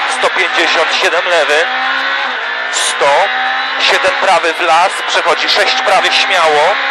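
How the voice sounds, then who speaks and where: The speech moves at a very slow pace with long, frequent pauses. Loud background noise fills the dry recording, which has no echo. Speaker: rally co-driver. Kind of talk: rally co-driver reading pace notes aloud. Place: car.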